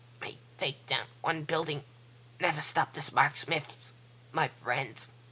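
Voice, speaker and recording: A woman does a raspy put-on character voice at a very deep, low pitch. She goes at a fairly slow pace over clear background noise. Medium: read story. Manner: stammering, indignant.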